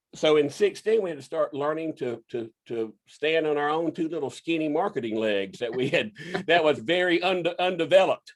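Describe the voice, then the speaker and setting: A man speaks with a Southern US accent. His intonation is lively. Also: fairly high pitch for a man, moderate pace. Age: 60s. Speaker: inventor and business owner. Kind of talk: casual interview. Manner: halting, repeats words.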